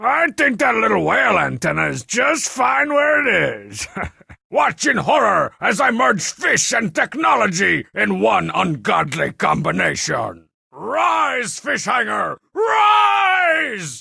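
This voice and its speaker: A man performs a cartoonish character voice. It is raised and projected, delivered at a fairly slow pace. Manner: sarcastic, brash.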